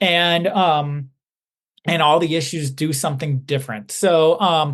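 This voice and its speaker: A man talks at a fairly slow pace, the background quiet. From Chicago, North Side. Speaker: comic book illustrator. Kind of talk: podcast interview.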